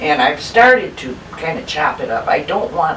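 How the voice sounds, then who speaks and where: Woman with an Upper Midwest accent, fairly low pitch, very wide pitch swings and a very slow pace, with noticeable background noise. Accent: Upper Midwest American. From Milwaukee, Wisconsin. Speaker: home cook. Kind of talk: home cooking demonstration.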